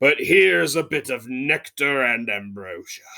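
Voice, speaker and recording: A man's put-on character voice at medium pitch and a fairly slow pace, on a very clean recording with a silent background. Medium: read story. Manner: brutish, bellowing.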